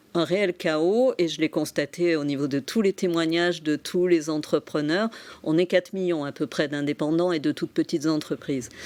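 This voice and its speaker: This woman's voice sits fairly low, with ordinary pitch variation at a moderate pace. The recording is very clean with a silent background, and the sound is dry and close with no echo. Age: 60s. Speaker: psychotherapist and entrepreneur. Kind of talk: TV interview. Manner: hesitant, many fillers.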